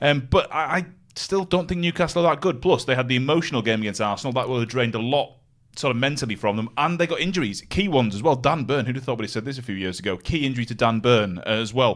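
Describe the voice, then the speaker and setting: Very clean with a silent background, this recording has a man speaking at a very fast pace with lively intonation. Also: medium pitch for a man. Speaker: football betting pundit. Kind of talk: live sports betting show chat. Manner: loud.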